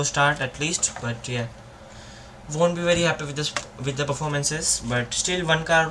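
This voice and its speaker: There is noticeable background noise. Through it, a man speaks at a fairly high pitch. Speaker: F1 watchalong streamer. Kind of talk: live commentary. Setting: live stream. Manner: halting, fumbling.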